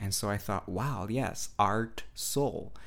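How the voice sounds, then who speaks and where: Someone with a Portuguese accent speaks at a very slow pace. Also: man. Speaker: spiritual podcast host and meditation teacher. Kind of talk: solo podcast monologue. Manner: hesitant, with fillers and restarts.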